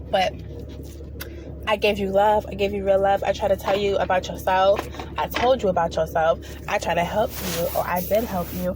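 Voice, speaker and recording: A woman with an animated tone leaves long, frequent pauses amid noticeable background noise. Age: 20s. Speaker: spiritual vlogger. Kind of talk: casual monologue. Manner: fast.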